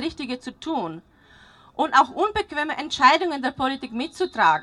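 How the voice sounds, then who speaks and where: A woman speaks at a moderate pace in a bright, sharp tone, her pitch swinging very widely. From Slovakia. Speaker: parent climate activist. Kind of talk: rally speech.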